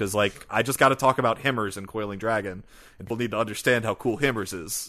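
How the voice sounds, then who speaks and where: Very fast speech against a quiet background. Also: man. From Louisiana, US. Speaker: web novel podcaster. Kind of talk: casual chat.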